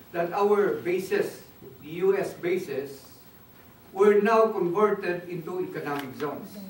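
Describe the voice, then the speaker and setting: A man speaks with ordinary pitch variation. Audible room echo and noticeable background noise surround his voice. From Philippines, Baguio. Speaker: speaker on Philippine development. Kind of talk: talk. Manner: halting.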